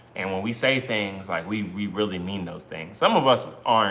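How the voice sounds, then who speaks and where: A medium-pitched man with an American accent at a moderate pace, amid noticeable background noise and audible room echo. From US Northeast, Brooklyn, New York. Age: 30s. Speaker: married couple content creator. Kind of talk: casual livestream chat. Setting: live stream with spouse.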